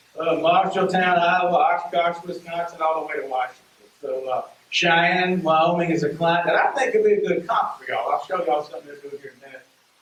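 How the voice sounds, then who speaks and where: Speech comes at a very fast pace in a strong Southern US accent with fairly even intonation. Loudness swings widely, and background noise is noticeable. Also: man, high pitch for a man. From US South, rural Mississippi. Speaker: economic development consultant. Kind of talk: presentation to community meeting.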